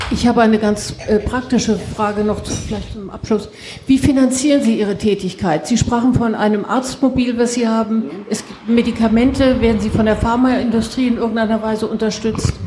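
Noticeable background noise sits behind a woman speaking at a fairly high pitch. She moves at a fairly quick pace with fairly even intonation. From Frankfurt, Germany. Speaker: audience member. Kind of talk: audience question.

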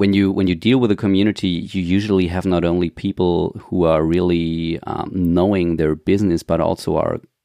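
With a German accent, a man talks at a moderate pace with hardly any pauses, his very deep, low pitch carrying a dark, mellow tone and fairly even intonation in a dry, close sound with no echo against a quiet background. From Germany. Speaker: podcast host. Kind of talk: interview. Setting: remote call. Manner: halting.

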